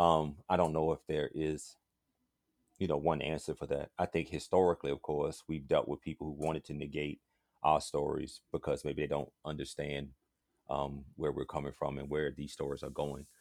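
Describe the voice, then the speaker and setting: A man speaks at a moderate pace in a very deep, low voice with vocal fry. The sound is dry and close, with no echo. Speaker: spoken word poet. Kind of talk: casual interview chat. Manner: animated, humorous.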